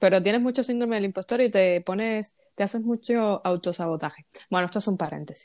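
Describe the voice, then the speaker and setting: With a plain, everyday voice, a woman talks at a fairly quick pace and medium pitch with ordinary pitch variation, in a very clean, dry, close recording with no echo and a silent background. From Cuba. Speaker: podcast host. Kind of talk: casual interview.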